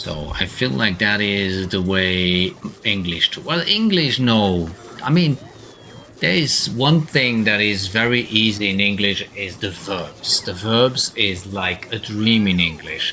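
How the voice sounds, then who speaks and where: A man with a German accent speaks at a very slow pace and a fairly low pitch, his intonation lively. Noticeable background noise sits behind him. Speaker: video game streamer. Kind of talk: live gameplay stream chat.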